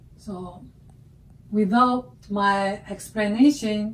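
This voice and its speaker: A woman speaks with a Chinese accent. Her voice is somewhat breathy. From China. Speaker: artist. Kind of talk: artist talk about own work. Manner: halting, with frequent fillers. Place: workshop. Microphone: camera far.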